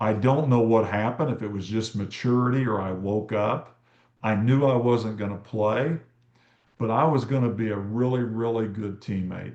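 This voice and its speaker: Fairly even intonation in a plain, everyday voice, the pace moderate. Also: man, medium pitch for a man. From Kansas. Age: 60s. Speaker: teacher and sports coach. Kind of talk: interview conversation.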